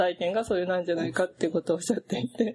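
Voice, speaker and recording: This is a woman's voice. She has a slight Kyoto accent. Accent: slightly pulled toward Kyoto. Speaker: interviewer, magazine editor. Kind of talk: interview. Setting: office. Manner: polite, formal.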